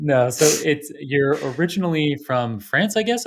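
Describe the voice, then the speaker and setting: A man with a normal speaking voice talks at a moderate pace with lively intonation on a very clean recording with a silent background. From Toronto, Canada. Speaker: podcast host. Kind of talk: interview.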